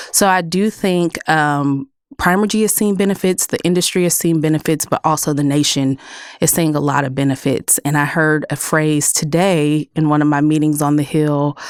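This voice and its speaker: Delivered in a Texas accent at a moderate pace, the speech holds a very even loudness and ordinary pitch variation on a very clean recording with a silent background. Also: woman, very deep, low pitch for a woman. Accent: Texas accent, noticeable. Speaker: clean energy policy director. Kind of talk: podcast interview.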